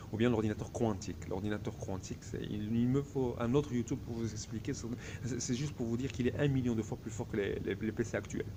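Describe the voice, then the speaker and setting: A man with a fairly low pitch and a dark, mellow, somewhat breathy tone speaks at a fairly quick pace with ordinary pitch variation, amid audible room echo. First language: Arabic (speaking French). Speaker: vlogger. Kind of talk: casual vlog monologue. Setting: hotel reception. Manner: hesitant, many fillers.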